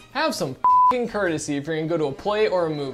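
Faint music can be heard in the background. A man talks over it. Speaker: online movie reviewer. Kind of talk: commentary. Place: studio. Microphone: lapel.

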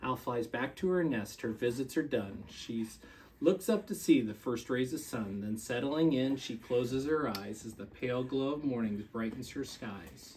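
Soft-spoken, a man talks in a warm, playful tone with ordinary pitch variation and hardly any pauses, over light background noise. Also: moderate pace. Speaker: school staff member reading to children. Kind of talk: gentle bedtime story read aloud to young children, with pauses for kids. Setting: at home with his young children. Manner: soothing, lilting storyteller cadence, softly winding down; warm and playful, laughing and prompting little listeners. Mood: calm, soft bedtime tone. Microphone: camera far.

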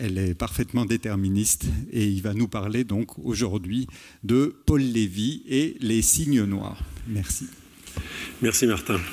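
A man talks very slowly in a fairly low voice. His pitch varies in an ordinary way. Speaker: mathematician. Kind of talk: formal introduction. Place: hall. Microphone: handheld.

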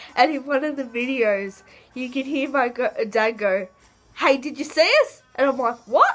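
The woman's pitch is high. She uses lively intonation. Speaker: vlogger. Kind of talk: casual vlog chat. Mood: excited, laughing. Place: home room. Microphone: webcam.

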